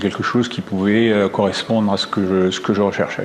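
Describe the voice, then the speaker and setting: A man with a fairly low pitch speaks against noticeable background noise. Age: 60s. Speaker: real estate agent, former construction consultant. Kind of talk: testimonial interview. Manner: hesitant, many fillers and repetitions.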